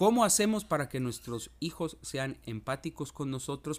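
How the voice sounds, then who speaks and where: At a fairly slow pace, a man with a normal speaking voice talks at a medium pitch. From Mexico, Veracruz port. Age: 40s. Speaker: podcast host. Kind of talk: reflective monologue.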